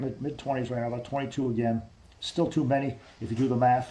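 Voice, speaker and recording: Speaking very fast, a man with an American accent has a dark, mellow tone and a somewhat breathy quality. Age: 50s. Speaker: army veteran. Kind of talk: interview. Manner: repetitive, halting.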